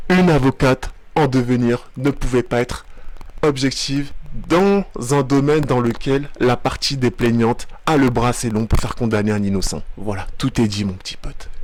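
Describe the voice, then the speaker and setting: Medium-pitched male voice at a moderate pace, with ordinary pitch variation. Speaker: video commentator. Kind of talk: reaction commentary. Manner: animated.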